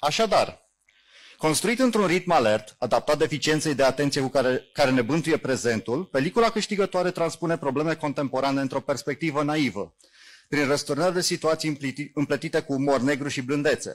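A man with an ordinary speaking voice, fairly high pitch, ordinary pitch variation and a fairly quick pace. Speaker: jury member, science fiction writer and magazine editor. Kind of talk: reading a prepared jury statement aloud. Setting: festival awards ceremony. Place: stage.

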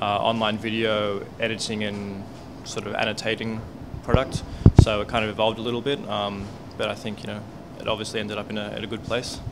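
Over loud background noise, a man speaks very fast. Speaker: guest. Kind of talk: interview answer. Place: bar. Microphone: handheld.

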